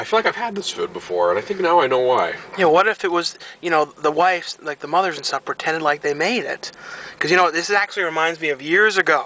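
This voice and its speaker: The speech comes at a very fast pace, with a dry sound and no echo. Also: man, high pitch for a man, ordinary pitch variation. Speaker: vlogger. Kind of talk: casual vlog chat. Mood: amused storytelling. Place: car.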